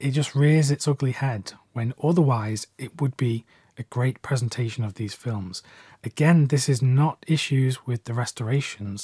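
A man with a British accent, medium pitch, ordinary pitch variation and a dark, mellow, somewhat breathy tone, at a moderate pace, in a dry sound with no echo against a quiet background. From UK. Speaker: film collector and video creator. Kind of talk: video essay/review monologue. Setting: YouTube video, solo. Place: home room.

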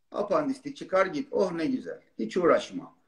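Over a quiet background, a man speaks with a high pitch. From Turkey, Zonguldak; Turkey. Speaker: urologist; guest. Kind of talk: live-stream Q&A chat. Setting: live video stream. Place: home room. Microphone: video call.

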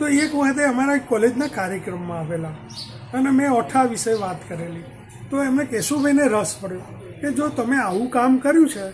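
An extremely high-pitched man with lively intonation over noticeable background noise. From north Gujarat, India (Unjha area), raised in Ahmedabad. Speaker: retired professor and folklore researcher. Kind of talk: interview, life story.

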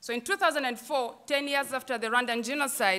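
In an East African accent, a woman speaks at a high pitch with a bright, sharp tone and ordinary pitch variation. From Uganda. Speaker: theatre director and choreographer; panelist. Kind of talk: panel talk. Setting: stage with audience. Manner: animated. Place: stage. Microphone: podium.

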